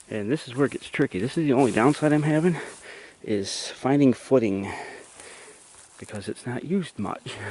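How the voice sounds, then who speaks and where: A man at medium pitch with lively intonation and a moderate pace, long, frequent pauses, and noticeable background noise. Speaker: hiking vlogger. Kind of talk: casual vlog narration while hiking. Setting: outdoors on a forest trail.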